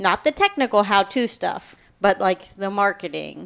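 Using vocal fry, a woman talks at a moderate pace and a medium pitch. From Kentucky. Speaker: podcast editor and producer. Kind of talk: interview.

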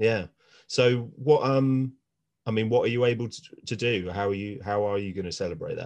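A plain, everyday voice: a man of medium pitch, ordinary pitch variation, a moderate pace and big swings in loudness. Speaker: podcast host. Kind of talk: casual chat.

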